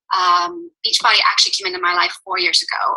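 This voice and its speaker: A woman with a Northern Irish accent at a very fast pace. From Northern Ireland. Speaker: fitness coach. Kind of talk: team call talk.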